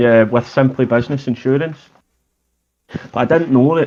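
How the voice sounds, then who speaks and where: Talking at a fairly quick pace, a man with a medium pitch and fairly even intonation speaks in a Scottish accent. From Scotland. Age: 30s. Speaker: pressure washing business owner. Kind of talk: casual chat.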